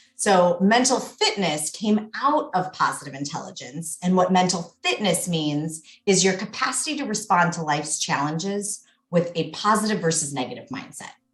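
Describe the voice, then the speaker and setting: A woman talks at a moderate pace with lively intonation and a medium pitch. Music plays in the background. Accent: American. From United States. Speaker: mental fitness coach. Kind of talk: podcast interview. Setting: podcast recording.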